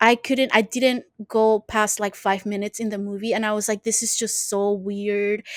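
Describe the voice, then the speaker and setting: Animated in tone, a woman with a Spanish accent speaks at a fairly high pitch and moderate pace with hardly any pauses, in a dry, close sound with no echo. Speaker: podcast co-host. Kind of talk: casual chat.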